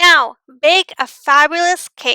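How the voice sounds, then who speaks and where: In a put-on character voice, this woman goes extremely high in pitch. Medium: read story. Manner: theatrical, fabulous.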